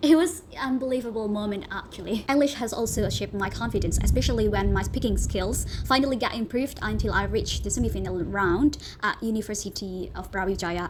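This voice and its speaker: A woman with an Indonesian accent at a fairly quick pace, noticeable background noise behind her. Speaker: university student. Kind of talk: class presentation narration.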